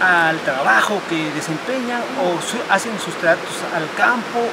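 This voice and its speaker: A man talks over loud background noise. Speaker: travel documentary host. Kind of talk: travel presenter commentary. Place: waterside. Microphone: camera far.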